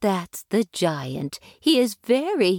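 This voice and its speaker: A female-sounding put-on character voice with a gentle tone, a medium pitch and very wide pitch swings. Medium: read story. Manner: gentle, motherly.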